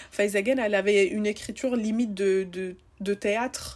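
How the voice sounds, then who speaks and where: A woman speaks in an ordinary speaking voice at medium pitch. Her pace is fairly slow and her intonation fairly even. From Tunisia, Tunis. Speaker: podcast host. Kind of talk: casual chat. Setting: remote recording.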